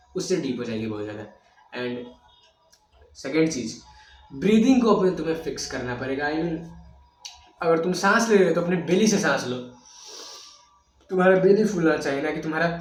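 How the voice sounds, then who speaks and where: Audible room echo surrounds a man's high-pitched voice. His intonation is lively. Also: long, frequent pauses. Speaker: self-improvement youtuber. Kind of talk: tutorial. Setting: recorded video.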